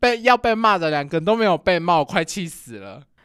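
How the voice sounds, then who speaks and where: A man speaks loudly at a very fast pace and a high pitch. The recording is very clean, with a silent background. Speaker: podcast co-host. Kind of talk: casual chat.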